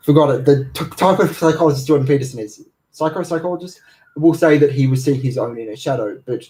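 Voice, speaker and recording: Speaking very fast, this man has a fairly high pitch, a dark, mellow tone, a somewhat breathy sound and ordinary pitch variation. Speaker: energy healer. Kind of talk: livestream talk. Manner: hesitant, many fillers.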